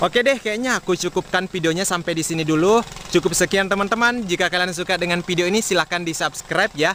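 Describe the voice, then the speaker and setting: A man with a high pitch, ordinary pitch variation and a very fast pace, with hardly any pauses. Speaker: farming vlogger. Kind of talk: vlog talk to camera. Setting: outdoors in rice field. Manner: loud. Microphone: action camera built-in mic, half a meter away.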